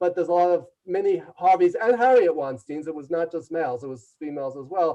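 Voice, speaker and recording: Talking very fast with hardly any pauses, a man with a New York accent has a high pitch with a dark, mellow tone, ordinary pitch variation and big swings in loudness. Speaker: leadership consultant and author. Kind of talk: interview storytelling. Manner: loud and fast.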